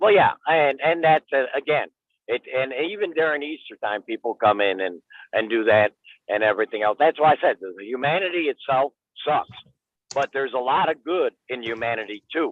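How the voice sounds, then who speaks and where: This man talks at a fairly quick pace with a fairly high pitch. His intonation is lively. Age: 60s. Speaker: livestream guest, supportive father figure. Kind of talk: casual chat. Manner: animated.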